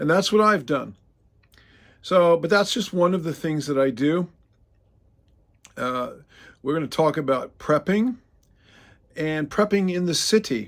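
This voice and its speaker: Speaking with an American accent, a man uses a high pitch and lively intonation at a fairly slow pace, with long, frequent pauses. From Oregon, US Pacific Northwest. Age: 60s. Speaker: arborist and faith-based prepping channel host. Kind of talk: casual talk to camera. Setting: outdoors in front of his truck. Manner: hesitant, many fillers.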